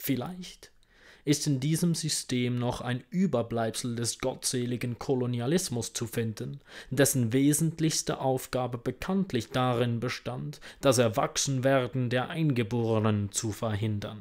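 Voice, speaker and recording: With ordinary pitch variation, a man speaks at a fairly slow pace. Nothing much sounds behind him. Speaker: audiobook reader. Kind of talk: reading aloud. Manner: formal. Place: home room. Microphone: earbuds.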